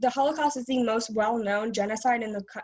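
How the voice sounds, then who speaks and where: At a fairly quick pace, a woman speaks in a high pitch with ordinary pitch variation. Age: 20s. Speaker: public commenter, student. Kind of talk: public comment at meeting. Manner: fast; halting, many fillers.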